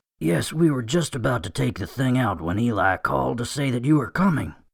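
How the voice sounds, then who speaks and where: A raspy, put-on character voice from a man, medium in pitch, fairly quick, with very wide pitch swings, on a very clean recording with a silent background. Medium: audio drama. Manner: brisk, businesslike.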